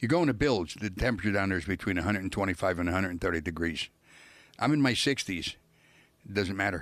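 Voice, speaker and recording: On a very clean recording with a silent background, a man with an American accent talks very fast, his pitch fairly low with ordinary variation. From New York (Brooklyn). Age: 70s. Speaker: former cult member, musician. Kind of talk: interview storytelling.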